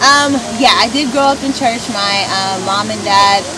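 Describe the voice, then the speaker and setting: Over noticeable background noise, a woman speaks at a fairly slow pace in a dry sound with no echo. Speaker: pageant winner and student. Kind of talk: casual interview. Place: garden. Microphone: camera far.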